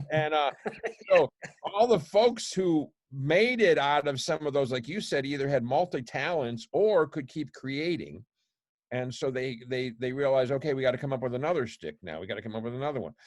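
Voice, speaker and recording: With an American accent, a man talks at a moderate pace in a plain, everyday voice, fairly high in pitch. His intonation is lively, and the recording is very clean with a silent background. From Buffalo, New York. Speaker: poet. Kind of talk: podcast interview answer.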